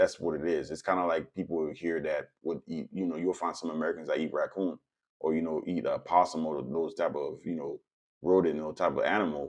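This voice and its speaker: A man with a Haitian accent speaks at a fairly quick pace. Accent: Caribbean (Haitian). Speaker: political commentator, vlogger. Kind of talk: casual monologue commentary. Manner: conversational, filler-heavy.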